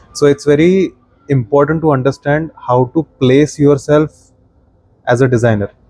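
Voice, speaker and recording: Dry and close with no echo, the voice has a dark, mellow tone, fairly even intonation and very even loudness, moving at a moderate pace with long, frequent pauses. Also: man, fairly high pitch for a man. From India, Maharashtra. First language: Marathi. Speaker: product designer and design teacher. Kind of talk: podcast interview.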